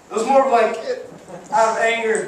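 Against light background noise and audible room echo, a man speaks at an extremely high pitch in a nervous tone. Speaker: amateur stand-up comedian. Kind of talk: first-time stand-up set at a comedy club, crude one-liners and pop-culture riffs. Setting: comedy club stage with live audience. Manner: hyping the crowd with whoops and quick audience questions; slightly nervous, stumbling and repeating words mid-punchline. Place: stage.

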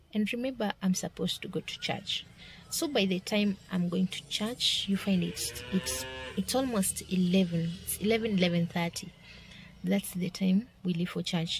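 Music plays in the background as a woman speaks at a fairly slow pace. The sound is dry, with no echo. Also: ordinary pitch variation. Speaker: vlogger. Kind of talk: casual vlog chat. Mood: warm, reflective. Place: car. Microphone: phone near.

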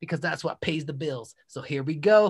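Against a quiet background, a man speaks at a fairly quick pace. His tone is energetic and animated, with lively intonation. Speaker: podcast host and musician; podcast host. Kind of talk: casual podcast chat; self promotion. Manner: energetic, animated. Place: home room. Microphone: video call.

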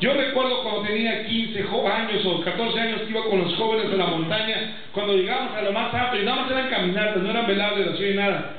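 Under strong room echo and light background noise, a man talks at a fairly quick pace, his pitch high and his intonation fairly even. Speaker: pastor. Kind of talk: sermon. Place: church.

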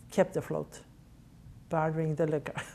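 A woman speaks with a very deep, low pitch and a dark, mellow tone. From Norway. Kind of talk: oral history interview answer.

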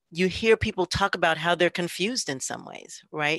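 An unremarkable speaking voice: a woman with a fairly low pitch and ordinary pitch variation talks at a moderate pace against a quiet background, the sound dry with no echo. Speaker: ethnographic researcher. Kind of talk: panel discussion. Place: home room. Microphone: video call.

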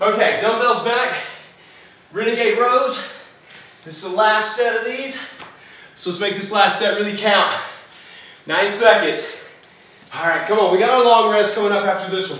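A man's raised, projected voice at a moderate pace, with long, frequent pauses, fairly even intonation and strong room echo. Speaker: fitness coach. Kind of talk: workout coaching while exercising.

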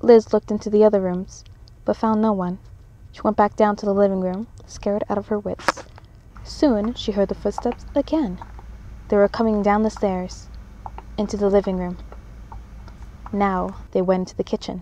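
A woman at a medium pitch and moderate pace, fairly even intonation, long, frequent pauses and noticeable background noise. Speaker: children's bookseller and horror story reciter. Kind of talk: scary story reading.

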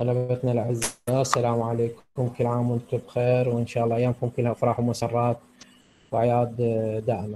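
A man with an Iraqi accent speaks in a monotone, flat intonation and a dark, mellow tone at very even loudness, over light background noise. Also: moderate pace. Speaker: nursing lecturer. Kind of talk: lecture. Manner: halting. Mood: warm holiday greeting. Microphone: video call.

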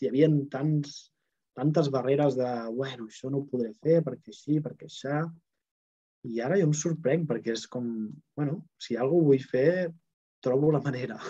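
At a moderate pace, the voice has a dark, mellow tone, ordinary pitch variation, and long, frequent pauses. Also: man, fairly high pitch for a man, quiet background. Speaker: Access Bars facilitator and host. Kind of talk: online group talk. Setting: video call with live chat. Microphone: earbuds.

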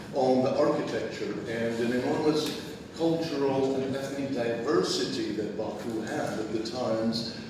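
Amid noticeable background noise and strong room echo, a man speaks at a moderate pace with fairly even intonation and hardly any pauses. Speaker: guest lecturer. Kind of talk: lecture. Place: hall. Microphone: camera far.

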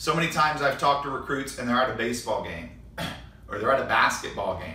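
Talking at a very fast pace with ordinary pitch variation, a man is heard with audible room echo. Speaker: college volleyball coach. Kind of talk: tutorial. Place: studio.

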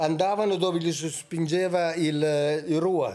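A man with a fairly high pitch speaks at a very slow pace. His intonation stays fairly even. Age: 70s. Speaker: author and researcher of ancient texts; podcast guest. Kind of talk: podcast interview. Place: studio. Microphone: studio mic.

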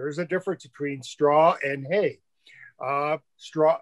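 In a quiet background, a man speaks at a very slow pace with fairly even intonation. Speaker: remote guest. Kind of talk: interview answer. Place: home room. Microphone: webcam.

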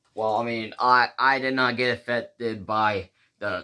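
A man puts on a character voice at medium pitch. He moves at a fairly slow pace. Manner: resigned, gloomy.

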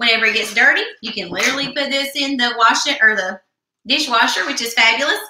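At a very fast pace, a woman with a high pitch and ordinary pitch variation speaks amid light background noise and audible room echo. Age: 20s. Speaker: beauty product consultant; beauty product consultant host. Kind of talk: live product demo. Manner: animated. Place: home room. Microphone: webcam.

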